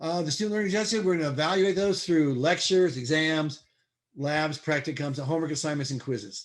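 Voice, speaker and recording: Against a quiet background, a man with a fairly high pitch talks at a very fast pace. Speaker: college chemistry instructor. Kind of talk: lecture.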